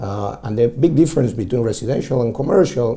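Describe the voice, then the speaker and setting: Somewhat breathy and dark, mellow in tone, a man speaks at a medium pitch with an Argentine accent. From Argentina. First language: Spanish. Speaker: commercial real estate broker. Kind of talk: interview. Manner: halting, many fillers.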